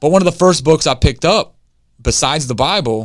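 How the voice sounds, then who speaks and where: A man speaks very fast in an energetic, passionate tone. His pitch varies in an ordinary way. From Detroit, Michigan. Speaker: recovered addict and former inmate. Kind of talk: guided visualization read from a book, leading the listener to their own funeral; casual interview testimony. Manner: energetic, fired-up and passionate.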